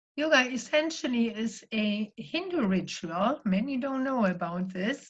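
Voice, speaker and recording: A woman with a German accent talks at a fairly slow pace in a fairly high, somewhat breathy voice. Her pitch swings very widely. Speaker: spiritual life coach and yoga teacher. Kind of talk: sermon-style talk.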